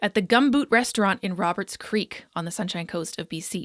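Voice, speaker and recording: In a normal speaking voice with a Canadian accent, a woman talks at a moderate pace with lively intonation, the sound dry and close with no echo and the recording very clean against a silent background. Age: 30s. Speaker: podcast host and fitness coach. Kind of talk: scripted guest introduction; podcast interview.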